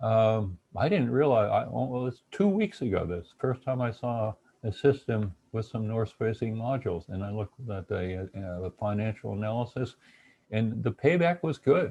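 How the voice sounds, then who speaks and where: Somewhat breathy and dark, mellow in tone, the voice moves at a moderate pace with ordinary pitch variation against a quiet background. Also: man, medium pitch for a man. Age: 70s. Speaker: retired engineering professor and webinar presenter. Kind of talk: webinar lecture. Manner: halting with frequent fillers and repetitions.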